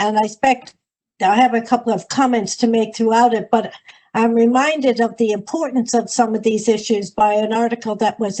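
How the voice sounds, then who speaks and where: A woman speaks at a fairly high pitch in a dark, mellow tone. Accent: Irish. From United States. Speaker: higher education policy expert. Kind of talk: webinar presentation. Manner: halting, frequent fillers.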